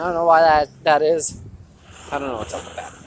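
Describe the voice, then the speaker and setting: A man with a fairly high pitch talks against noticeable background noise. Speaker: vlogger. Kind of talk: walking vlog monologue. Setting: outdoors, walking home. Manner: halting; louder than usual to reach the mic.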